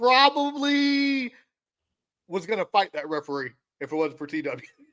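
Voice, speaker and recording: In a dry, close sound with no echo, a man speaks with an intense tone at an extremely high pitch, fairly slowly, with very wide pitch swings. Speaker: podcast host, athletic director. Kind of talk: casual chat. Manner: loud and intense.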